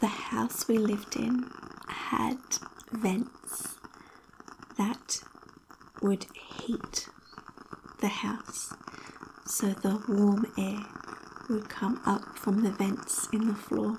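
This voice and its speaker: Whispering from a woman at a very slow pace, with long, frequent pauses and noticeable background noise. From Australia. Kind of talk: ASMR personal story. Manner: soft-spoken.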